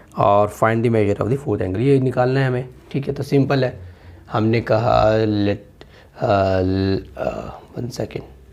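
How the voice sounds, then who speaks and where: Over noticeable background noise, a man talks at medium pitch and moderate pace with ordinary pitch variation. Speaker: maths teacher. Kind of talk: tutorial. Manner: conversational, repetitive checks.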